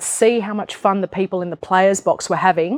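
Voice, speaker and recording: Someone speaks in an Australian accent. The sound is dry and close with no echo, over a quiet background. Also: woman. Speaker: entrepreneur. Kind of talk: interview on stage. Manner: animated.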